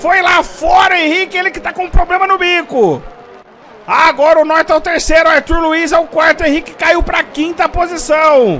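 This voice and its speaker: A man's raised, projected voice at an extremely high pitch, with fairly even intonation and noticeable background noise. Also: moderate pace. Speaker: sim racing commentator. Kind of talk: live race commentary, call of a virtual motorsport race. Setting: livestream broadcast. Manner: loud, hyped, shouting encouragement at the drivers.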